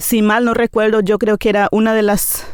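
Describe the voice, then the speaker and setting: With a Paraguayan accent, a woman speaks at a moderate pace. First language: Nivacle (speaking Spanish). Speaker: teacher. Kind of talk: interview testimony. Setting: studio. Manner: hesitant, many fillers.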